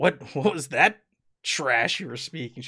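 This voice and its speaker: A man performs a put-on character voice at a fairly high pitch with lively intonation. He speaks at a fairly slow pace, the sound dry and close with no echo. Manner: cocky, condescending.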